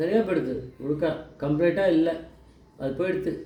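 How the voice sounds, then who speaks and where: This man's pitch varies an ordinary amount. His voice sits high. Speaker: devotional storyteller. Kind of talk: devotional story narration.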